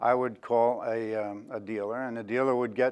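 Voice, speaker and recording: Against a quiet background, a man with a New York accent speaks at a moderate pace. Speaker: options trader and industry veteran. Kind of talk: talk to an audience. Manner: halting, many fillers.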